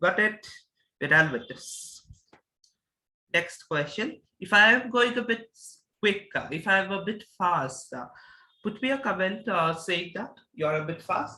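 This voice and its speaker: Projecting a raised, high-pitched voice, a man speaks slowly with lively intonation and a bright, sharp tone, leaving long, frequent pauses. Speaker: mathematics teacher. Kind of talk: lecture.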